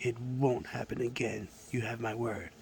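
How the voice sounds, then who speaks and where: A man puts on a raspy character voice at a medium pitch, with monotone, flat intonation and a moderate pace. Clear background noise sits behind him. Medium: read story. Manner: easygoing, friendly.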